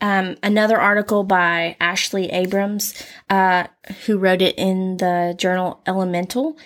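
In a Southern US accent, a woman talks fairly slowly at a medium pitch with fairly even intonation and very even loudness, on a very clean recording with a silent background. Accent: Southern US drawl. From US South. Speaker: podcast co-host, counseling-oriented. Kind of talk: casual chat.

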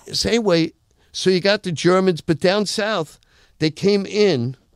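A man speaks in a clear, smooth tone at a high pitch. His pace is fairly slow, with ordinary pitch variation.

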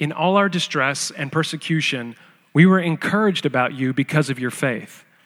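On a very clean recording with a silent background, a man speaks in an ordinary speaking voice at a fairly high pitch, with ordinary pitch variation and a moderate pace. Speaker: scripture reader. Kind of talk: reading aloud.

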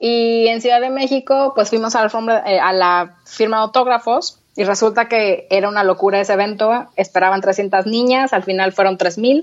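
A woman with an ordinary speaking voice talks at a moderate pace and a fairly high pitch, with hardly any pauses. Her loudness is very even and her pitch varies in an ordinary way. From Mexico, Torreón. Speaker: entrepreneur. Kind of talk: interview.

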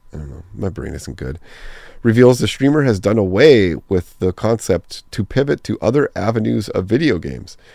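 A man's dark, mellow voice with vocal fry, very wide pitch swings, big swings in loudness and a moderate pace, in a dry, close sound with no echo. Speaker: community manager hosting a gaming podcast. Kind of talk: solo podcast monologue. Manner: casual, rambling with fillers.

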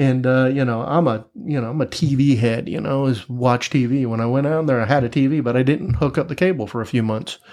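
Speaking at a fairly quick pace with hardly any pauses, a man with an American accent has an unremarkable speaking voice, medium pitch and ordinary pitch variation. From Tampa, Florida, US. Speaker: podcast guest in addiction recovery. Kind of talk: casual interview chat.

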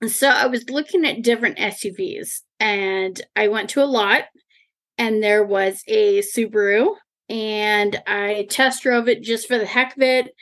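A woman speaks with an American accent in an unremarkable speaking voice. Her pitch is fairly high, with ordinary variation. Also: fairly slow pace. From Eastern Washington, US Pacific Northwest. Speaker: car enthusiast and rallycross driver. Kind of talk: casual interview chat.

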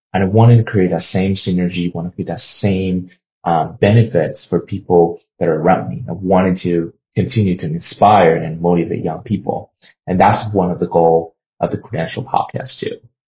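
Somewhat breathy speech in a Chinese accent comes at a moderate pace with ordinary pitch variation. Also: man, very deep, low pitch for a man. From China. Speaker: podcast host and sports journalist. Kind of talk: solo podcast monologue.

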